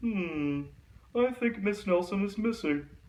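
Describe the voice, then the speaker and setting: Someone does a put-on character voice in a middle pitch at a fairly slow pace. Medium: read story. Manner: slow, ponderous.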